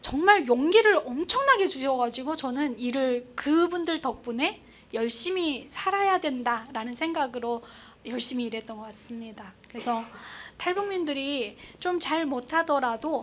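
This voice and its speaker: Speaking at a fairly slow pace, a woman with a North Korean accent has a high pitch, an animated tone and lively intonation. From North Korea, Pyongyang. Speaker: North Korean defector broadcaster. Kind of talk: public talk.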